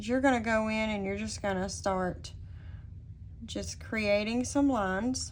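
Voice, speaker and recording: Spoken at a fairly slow pace with a Southern US accent, the voice carries audible room echo. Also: woman. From US South. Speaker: digital design tutorial instructor. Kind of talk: tutorial. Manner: hesitant, many filler words.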